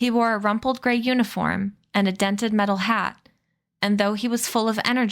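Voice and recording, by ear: In a quiet background, the words are read aloud in a natural voice whose intonation stays fairly even.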